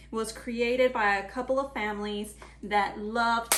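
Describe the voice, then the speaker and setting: A woman speaks at a fairly slow pace and a fairly high pitch. Room echo is audible around her. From Mexico. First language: Spanish. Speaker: cooking channel host. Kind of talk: cooking tutorial. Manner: casual, chatty.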